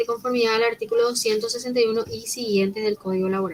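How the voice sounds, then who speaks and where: A woman's fairly high voice, an unremarkable speaking voice, with fairly even intonation. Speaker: law professor. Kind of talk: lecture. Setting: online class, recorded.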